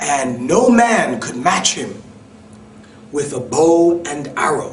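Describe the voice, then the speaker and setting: A man speaks with a New York accent at a high pitch, with very wide pitch swings. Noticeable background noise can be heard. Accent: New York American English. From New York City. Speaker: EFL instructor. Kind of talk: read story for English learners. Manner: slow, clear, with simple explanations.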